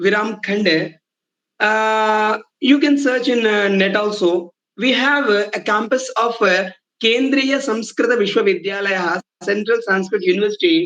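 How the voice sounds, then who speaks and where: A man with a high pitch talks at a fairly slow pace, his pitch variation ordinary. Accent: Telugu. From India, Telugu-speaking region. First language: Telugu. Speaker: Sanskrit professor. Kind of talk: lecture. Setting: online lecture. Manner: repetitive, halting with fillers.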